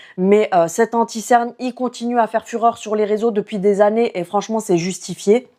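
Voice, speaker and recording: Her fairly high voice carries a dark, mellow tone as the woman speaks at a moderate pace with hardly any pauses and fairly even intonation. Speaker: beauty youtuber. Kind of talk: product review. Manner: casual.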